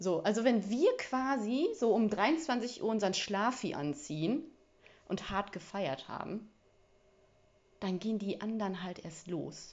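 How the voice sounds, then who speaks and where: Speaking very slowly with long, frequent pauses, a woman uses a medium pitch. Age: 30s. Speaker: podcast host. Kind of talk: casual solo monologue. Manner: casual, filler-heavy.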